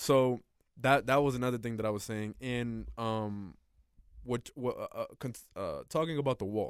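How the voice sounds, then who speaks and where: In a normal speaking voice, a man at a medium pitch talks at a fairly slow pace with fairly even intonation. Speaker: podcast host. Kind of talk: casual chat.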